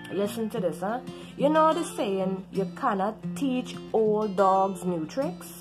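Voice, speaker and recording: Music plays in the background as a woman with a Caribbean accent speaks at a very slow pace. Her pitch is medium and her intonation lively. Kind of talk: casual talk to camera.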